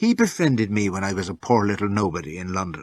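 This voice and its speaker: A husky, put-on character voice at a very fast pace, with ordinary pitch variation, over a quiet background. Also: man. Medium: read story. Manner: imperious.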